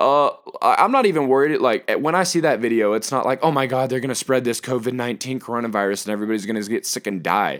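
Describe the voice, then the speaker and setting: In a very clean recording with a silent background, a man talks at a very fast pace in an animated tone. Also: medium pitch for a man, ordinary pitch variation. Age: 20s. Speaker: podcast host. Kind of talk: casual monologue. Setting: at home.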